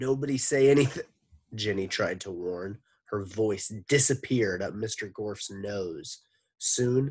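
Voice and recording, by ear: Reading aloud in a natural voice, the speaker uses ordinary pitch variation. Behind the voice, all is quiet.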